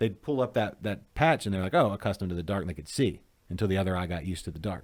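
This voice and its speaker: With a slight Arkansas accent, a man talks at a very fast pace in a very deep, low pitch with lively intonation, captured in a very clean recording with a silent background. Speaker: craft beer show host. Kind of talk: casual chat. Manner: animated.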